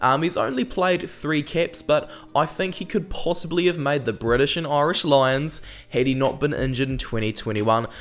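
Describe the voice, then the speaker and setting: This man talks at a moderate pace in a New Zealand accent. His pitch varies in an ordinary way. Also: fairly high pitch for a man. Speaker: rugby YouTuber and analyst. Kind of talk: casual commentary video. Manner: hesitant, many ums.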